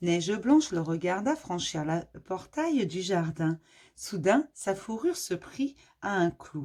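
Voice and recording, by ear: Natural-voiced reading aloud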